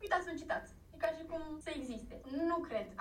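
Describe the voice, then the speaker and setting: Fairly quick speech from a woman amid audible room echo. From Iași, Romania. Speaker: social media specialist. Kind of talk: interview. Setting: remote call.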